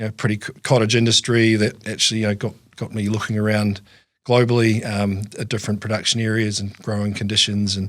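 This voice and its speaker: A man with a New Zealand accent, fairly low-pitched, very fast, monotone and flat, on a very clean recording with a silent background. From New Zealand, lower South Island. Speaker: farm business manager. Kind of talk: interview. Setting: studio. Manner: halting, many fillers and repeats.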